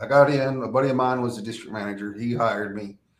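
This man with an American accent talks at a very fast pace, with ordinary pitch variation. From Texas. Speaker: former prisoner turned prison minister. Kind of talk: testimony.

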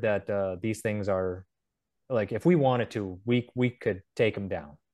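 This man has an unremarkable speaking voice and an American accent. He talks at a moderate pace. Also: quiet background. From North Dakota, US. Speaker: UFO researcher. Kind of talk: casual interview.

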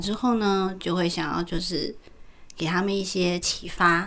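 A woman speaks at medium pitch. Audible room echo is present. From Taiwan. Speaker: podcast co-host. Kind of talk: casual chat.

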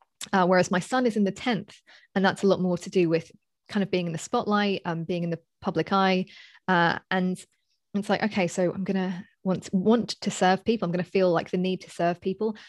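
A woman with a London accent speaks at a fairly quick pace and medium pitch, her intonation monotone and flat. The recording is very clean with a silent background, and the sound is dry and close with no echo. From Southeast London, England. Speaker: astrologer and coach. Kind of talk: casual interview. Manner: halting, many fillers.

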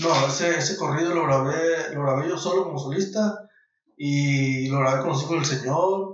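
At a moderate pace, a man uses a normal speaking voice with a fairly high pitch and ordinary pitch variation. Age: 30s. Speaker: singer-songwriter. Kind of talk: casual interview.

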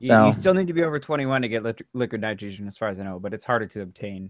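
Lively in intonation and very fast in pace, a man with a fairly low pitch speaks with big swings in loudness. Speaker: podcast host.

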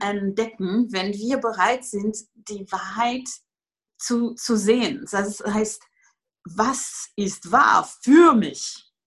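With a French accent, a woman talks at a very slow pace. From France. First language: French (speaking German). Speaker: Access Consciousness facilitator, former yoga teacher. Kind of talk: casual interview conversation. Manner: hesitant, many fillers.

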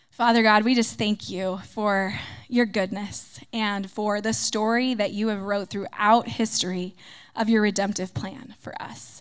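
A woman's fairly high, monotone voice at a fairly slow pace, on a very clean recording with a silent background. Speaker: pastor's wife. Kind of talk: spoken prayer. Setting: church service before a congregation.

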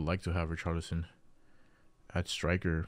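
Recorded very cleanly with a silent background, a man speaks at a moderate pace. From Dominican Republic. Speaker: podcast host. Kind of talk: casual chat.

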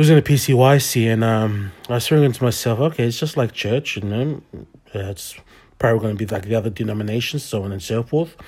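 Someone speaks very fast in an Australian accent, somewhat breathy. Pitch variation is ordinary. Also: man, medium pitch for a man. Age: 30s. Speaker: podcast host and church youth leader. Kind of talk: personal testimony. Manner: halting, many fillers.

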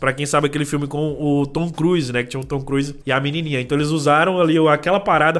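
A man at a very fast pace. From Brazil, northern Minas Gerais, rural. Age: 30s. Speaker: tech youtuber. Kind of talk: casual chat.

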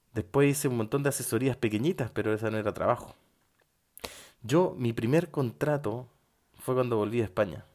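This man talks at a fairly quick pace in a Chilean accent, his voice at a medium pitch. He leaves long, frequent pauses, and his pitch varies in an ordinary way. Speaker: podcast host, psychologist. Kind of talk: motivational monologue.

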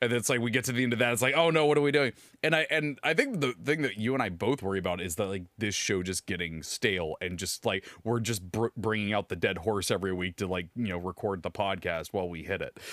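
A man talks at a very fast pace with a fairly low pitch and lively intonation, hardly pausing at all. The recording is very clean with a silent background and a dry, close sound with no echo. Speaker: podcast host. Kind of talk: casual chat. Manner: loud.

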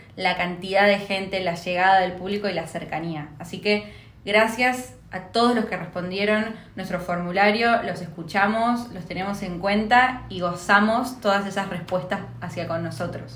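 Amid noticeable background noise and audible room echo, a woman talks at a moderate pace and a medium pitch with ordinary pitch variation. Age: 20s. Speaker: podcast co-host. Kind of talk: casual chat.

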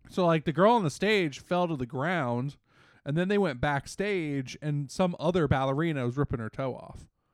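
With a quiet background, a man speaks in a normal speaking voice at a fairly high pitch, showing ordinary pitch variation. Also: moderate pace. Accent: American. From Washington DC area, US. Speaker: podcast co-host. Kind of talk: casual chat.

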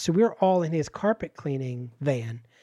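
With an American accent and an ordinary speaking voice, a man at a fairly high pitch uses lively intonation in a very clean recording with a silent background. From Pennsylvania steel town. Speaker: improv comedian and podcast co-host. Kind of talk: casual interview chat.

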